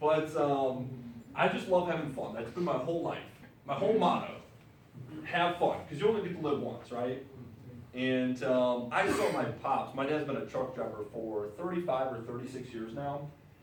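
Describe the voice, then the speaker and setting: A man with an American accent and a fairly high pitch talks at a moderate pace with lively intonation, amid noticeable background noise and audible room echo. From Wisconsin. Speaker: business presenter. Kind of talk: business presentation to audience. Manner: animated.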